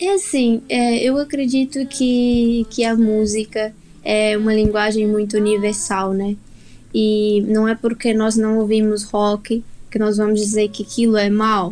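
At a fairly slow pace, a woman with a fairly high pitch speaks with very even loudness and fairly even intonation. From Brazil. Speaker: singer-songwriter. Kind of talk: radio interview.

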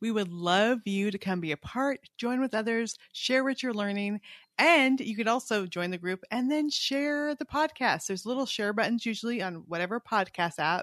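A woman with an ordinary speaking voice talks at a moderate pace with lively intonation, recorded with a dry, close sound and no echo. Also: fairly high pitch for a woman. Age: 50s. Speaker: Bible podcast co-host. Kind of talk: casual chat about Bible reading.

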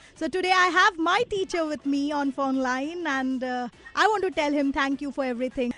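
There is noticeable background noise behind a woman's voice. She speaks high in pitch, with lively intonation, at a moderate pace. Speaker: radio host. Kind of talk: radio show. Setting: radio studio.

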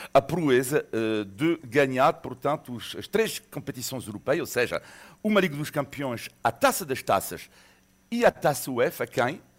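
A man with a fairly high voice talks at a moderate pace, his pitch swinging very widely, on a very clean recording with a silent background. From Monaco. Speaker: football fan. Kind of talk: casual radio chat.

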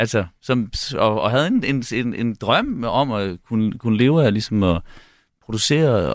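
A man with a plain, everyday voice speaks fairly slowly at a medium pitch. His pitch variation is ordinary, and the sound is dry and close with no echo. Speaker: musician and music producer. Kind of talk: casual radio interview.

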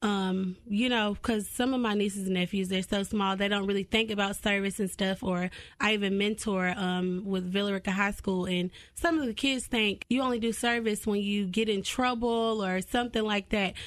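Against a quiet background, a woman in a Southern US accent speaks at a medium pitch and a moderate pace. She takes hardly any pauses, and her intonation is fairly even and her loudness very even. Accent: Southern US (Georgia). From US South, Cartersville, Georgia. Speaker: nonprofit founder. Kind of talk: radio interview.

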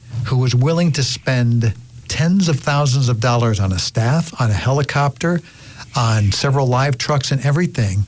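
At a moderate pace, a man talks in a medium-pitched, somewhat breathy voice with lively intonation. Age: 60s. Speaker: radio co-host. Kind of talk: casual chat. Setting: studio. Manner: laughs often.

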